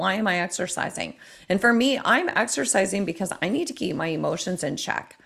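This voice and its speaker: With an unremarkable speaking voice, a woman talks at medium pitch and a fairly quick pace with lively intonation. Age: 50s. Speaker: mental health therapist and fitness coach. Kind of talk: interview.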